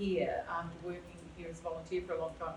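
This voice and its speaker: A woman is speaking amid noticeable background noise. Room echo can be heard. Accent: Australian. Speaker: volunteer social history guide. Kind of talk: panel talk to audience. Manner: loud.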